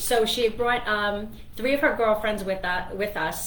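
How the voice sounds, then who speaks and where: A woman talks amid noticeable background noise, her voice carrying audible room echo. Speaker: radio host and financial planner. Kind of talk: radio talk show monologue. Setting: radio studio. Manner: fast; chatty, with many fillers.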